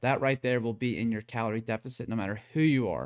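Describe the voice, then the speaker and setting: A man with fairly even intonation on a very clean recording with a silent background. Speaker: fitness coach streamer. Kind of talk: live stream talk. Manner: fast; casual.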